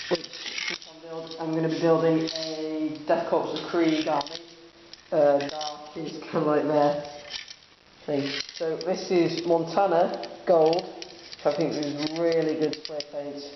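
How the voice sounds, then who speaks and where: Noticeable background noise accompanies speech that goes very slowly. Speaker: hobbyist model painter. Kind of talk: tutorial. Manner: casual, hesitant with fillers.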